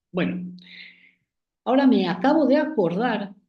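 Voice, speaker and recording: There is audible room echo around a man's dark, mellow tone. He speaks at a fairly slow pace with lively intonation. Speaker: acupuncture professor. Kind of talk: online lecture. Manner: hesitant, many fillers.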